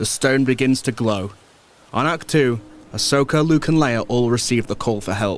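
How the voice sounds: With ordinary pitch variation and a medium pitch, a man talks at a moderate pace.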